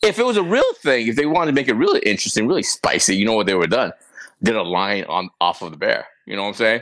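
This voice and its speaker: Against a silent background in a very clean recording, a man speaks at a very fast pace. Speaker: podcast co-host. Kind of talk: casual chat.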